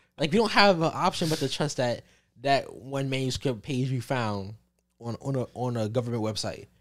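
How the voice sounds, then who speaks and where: Over a silent background in a very clean recording, a man talks at a moderate pace in an ordinary speaking voice, with medium pitch and ordinary pitch variation. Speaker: college student, ROTC. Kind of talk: casual chat.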